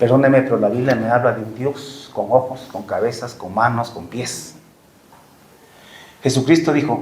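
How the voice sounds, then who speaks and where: Audible room echo surrounds a man's voice. His pitch sits at a medium level with ordinary variation. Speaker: preacher. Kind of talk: sermon. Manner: slow.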